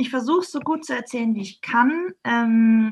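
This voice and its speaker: With an unremarkable speaking voice, a woman talks at a fairly high pitch and ordinary pitch variation. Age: 30s. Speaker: yoga trainer. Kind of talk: interview.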